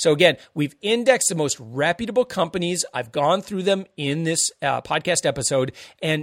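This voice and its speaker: Here is a man in an ordinary speaking voice. He talks at a moderate pace with lively intonation. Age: 40s. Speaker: consumer savings podcast host. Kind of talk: casual monologue.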